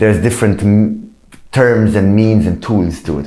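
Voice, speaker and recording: Moderate-paced speech in an Arabic accent, fairly even in intonation, with audible room echo and noticeable background noise. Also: man. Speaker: musician. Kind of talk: interview.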